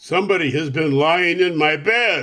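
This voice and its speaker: A man's gruff, put-on character voice, pitched fairly high. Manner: accusing.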